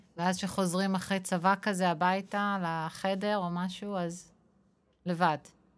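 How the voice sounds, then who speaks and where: Over a silent background in a very clean recording, a woman of medium pitch speaks at a fairly slow pace in a monotone, flat intonation. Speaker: podcast host. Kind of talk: interview.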